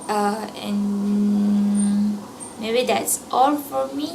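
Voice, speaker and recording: The speaker, with a non-native accent, uses fairly even intonation amid noticeable background noise and audible room echo. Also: woman. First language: not English. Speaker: university student. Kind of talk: personal reflection. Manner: halting.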